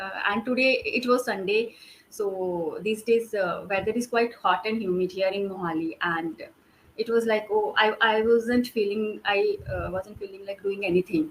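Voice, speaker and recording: A woman speaks at a moderate pace with a fairly high pitch and fairly even intonation. Noticeable background noise can be heard. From India, Himachal Pradesh. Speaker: homemaker practising English. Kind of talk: online English conversation practice. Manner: halting, many fillers.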